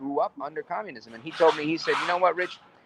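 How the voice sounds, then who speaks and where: The speaker talks at a very fast pace with an American accent, the sound dry and close with no echo. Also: man. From New York City. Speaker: podcast host. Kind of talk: interview.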